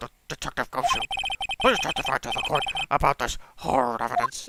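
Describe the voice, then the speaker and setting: The voice is a put-on character voice. It moves at a fairly quick pace. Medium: game stream. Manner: formal, deliberate.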